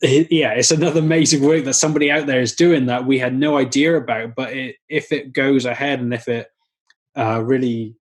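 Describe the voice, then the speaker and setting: In a Welsh accent, a man talks at a fairly quick pace with a medium pitch and fairly even intonation. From Wales. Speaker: vegan activist. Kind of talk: podcast interview.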